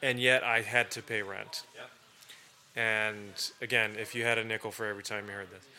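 A man's fairly low voice at a fairly quick pace, monotone and flat, with long, frequent pauses and big swings in loudness. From Turkey. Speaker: think tank director. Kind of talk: casual interview chat. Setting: whiskey bar.

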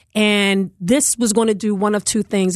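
A woman with an American accent talks at a moderate pace and medium pitch, her intonation fairly even, in a dry, close sound with no echo over a quiet background. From West Philadelphia. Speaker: politician. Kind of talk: interview. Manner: loud.

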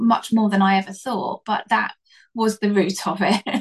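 Recorded dry and close with no echo, a woman with a medium-pitched, somewhat breathy voice talks fairly slowly in a flat monotone. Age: 50s. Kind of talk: casual interview. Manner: halting.

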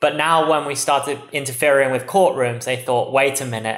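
A man at a medium pitch with an English accent, fairly even intonation, and a moderate pace. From England. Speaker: tech startup CEO. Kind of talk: interview.

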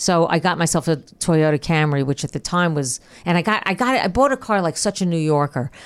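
With a plain, everyday voice, a woman talks at a fairly low pitch, using lively intonation and very even loudness. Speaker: comedian. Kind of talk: casual chat. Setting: studio.

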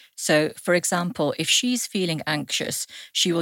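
A woman's voice at a moderate pace, dry and close with no echo, on a very clean recording with a silent background. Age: 40s. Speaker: psychotherapist. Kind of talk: casual chat. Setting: studio.

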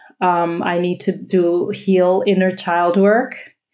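A woman with a fairly low pitch speaks at a very slow pace with fairly even intonation, and room echo is audible. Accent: American. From United States. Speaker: yoga teacher. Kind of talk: casual chat.

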